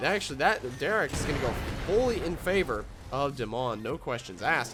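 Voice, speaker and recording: Music plays in the background as a man talks at a fairly quick pace. His pitch swings very widely. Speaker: game commentator. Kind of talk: esports replay commentary.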